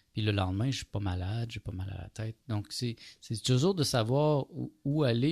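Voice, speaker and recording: A somewhat breathy man with a fairly low pitch and lively intonation talks at a moderate pace in a very clean recording with a silent background. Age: 40s. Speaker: radio host. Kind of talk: casual chat. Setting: studio.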